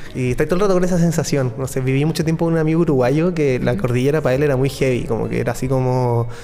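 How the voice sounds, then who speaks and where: Over noticeable background noise, a man with a fairly high pitch speaks at a very fast pace with hardly any pauses, very even loudness and ordinary pitch variation. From Chile, Santiago. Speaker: electronic music producer. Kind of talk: interview.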